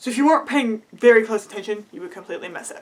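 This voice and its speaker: A woman is speaking. Her tone is animated. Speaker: cosplay and theatre video creator. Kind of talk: casual vlog review. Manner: fast.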